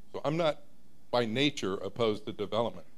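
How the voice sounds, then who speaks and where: Speaking at a moderate pace with lively intonation, a man is heard with audible room echo. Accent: American. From South Florida (Broward County). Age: 60s. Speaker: resident speaking at public comment. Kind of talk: public comment at city meeting. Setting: city commission meeting.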